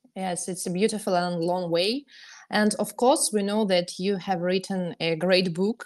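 With a Russian accent, a woman speaks at a moderate pace and medium pitch, her intonation fairly even against a quiet background. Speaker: podcast host, tennis telegram channel author. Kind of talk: podcast chat.

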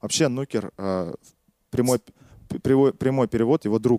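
A man speaks at a medium pitch in a dark, mellow tone. The sound is dry and close, with no echo. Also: very clean recording, silent background. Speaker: podcast host presenting a history topic. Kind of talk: storytelling history narration, partly read from notes. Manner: fluent, flowing speech.

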